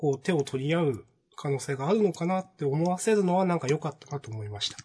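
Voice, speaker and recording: A man talks at a moderate pace. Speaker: manga podcast co-host. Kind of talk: casual chat.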